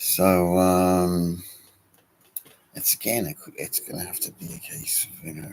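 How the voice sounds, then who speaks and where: A soft-spoken man at a fairly slow pace. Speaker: wargaming hobby youtuber. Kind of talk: casual vlog update. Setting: garden shed. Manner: hesitant, many fillers.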